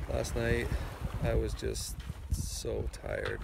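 A man's voice, dry with no echo, over loud background noise. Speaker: sailor vlogger. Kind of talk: casual vlog chat. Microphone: phone near.

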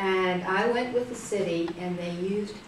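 Light background noise and audible room echo surround a woman's voice. She speaks very slowly, with ordinary pitch variation. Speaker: interviewee. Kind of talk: interview answer. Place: classroom. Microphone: camera far.

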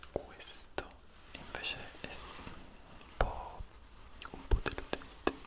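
A man whispering at a very slow pace, with long, frequent pauses. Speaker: ASMR content creator. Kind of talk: casual talk to camera, product haul show and tell. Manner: whispered, soft-spoken. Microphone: studio mic.

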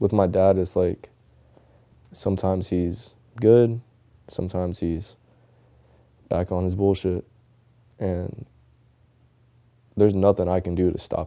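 A soft-spoken man with an American accent, a dark, mellow tone and a very deep, low pitch, at a fairly slow pace with long, frequent pauses and monotone, flat intonation, against a quiet background. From Tampa, Florida. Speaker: professional skateboarder. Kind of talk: documentary interview answer. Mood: soft-spoken, reflective, somber. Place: home room.

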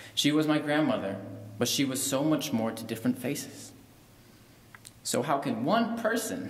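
With audible room echo, a man talks at a moderate pace, his pitch swinging very widely between long, frequent pauses. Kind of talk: spoken word poem eulogy at a funeral. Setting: funeral service. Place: church. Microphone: podium.

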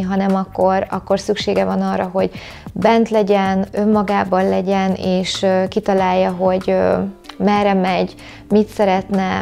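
A woman speaks at a moderate pace in a medium pitch. Her intonation stays monotone and flat. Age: 40s. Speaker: vegan chef and YouTuber; YouTuber. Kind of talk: vlog monologue to camera. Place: home room. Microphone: lapel.

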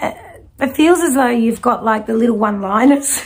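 Speaking at a moderate pace, a woman is heard. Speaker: intuitive reader. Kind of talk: spiritual reading to viewer. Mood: warm, animated. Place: home room.

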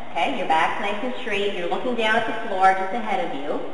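A woman speaks at a fairly quick pace with ordinary pitch variation, with audible room echo and light background noise. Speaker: fitness trainer. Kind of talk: tutorial. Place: gym. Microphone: camera far.

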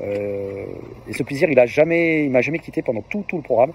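A man talks at a very fast pace with ordinary pitch variation, in a dry sound with no echo and light background noise. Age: 50s. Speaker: fitness program client giving testimonial. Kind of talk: testimony. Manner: hesitant, many filler words. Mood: positive, enthusiastic. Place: open country. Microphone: phone near.

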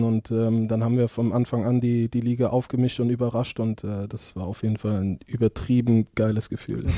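The tone is dark and mellow, with monotone, flat intonation at a moderate pace. The sound is dry with no echo, against a quiet background. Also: man. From Mainz, Germany; Germany. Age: 20s. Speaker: professional football goalkeeper; podcast guest. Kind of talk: casual interview. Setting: office. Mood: relaxed, anecdotal, humorous. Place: office. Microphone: headset.

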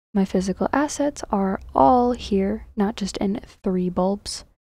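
A quiet, breathy woman's voice at medium pitch, dark and mellow in tone, with ordinary pitch variation. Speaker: game modder. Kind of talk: software tutorial narration.

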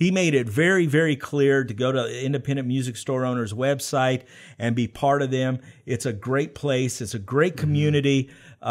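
A man with an American accent talks at a fairly quick pace. His intonation stays fairly even against a quiet background. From US South. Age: 40s. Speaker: podcast host. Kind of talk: interview. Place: studio. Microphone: studio mic.

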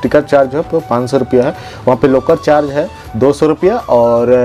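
Faint music plays behind a man speaking. He keeps a moderate pace and fairly even intonation. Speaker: vlogger. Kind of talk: casual vlog chat. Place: home room. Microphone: lapel.

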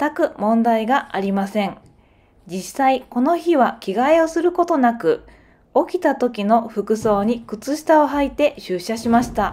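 Speaking at a fairly slow pace, a woman has a high voice with a dark, mellow tone. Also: very clean recording, silent background. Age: 30s. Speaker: factory worker and vlogger. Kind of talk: scripted narration, vlog.

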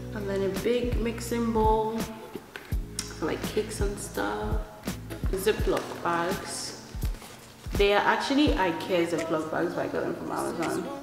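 A woman's voice comes with audible room echo and clear music in the background. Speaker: vlogger. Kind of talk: casual vlog chat. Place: home room. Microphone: camera far.

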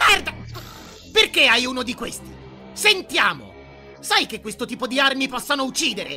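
Someone speaks in a put-on character voice at a fairly high pitch. Clear music plays in the background. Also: moderate pace. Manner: anxious, prissy, indignant.

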